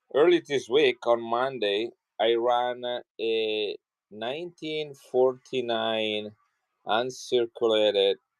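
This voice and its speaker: A man speaks at a very slow pace. He has an Italian accent. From Italy, Milan. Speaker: coin seller. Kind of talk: live selling stream. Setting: livestream.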